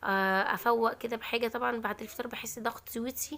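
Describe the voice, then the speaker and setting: A woman speaks with a high pitch at a moderate pace. Her intonation stays fairly even. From Egypt. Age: 20s. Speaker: cooking and lifestyle vlogger. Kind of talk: vlog narration. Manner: casual, chatty.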